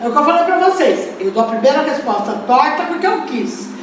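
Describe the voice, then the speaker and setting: A woman speaks loudly at a high pitch with lively intonation. The recording has audible room echo and noticeable background noise. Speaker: spiritist lecturer. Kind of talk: lecture.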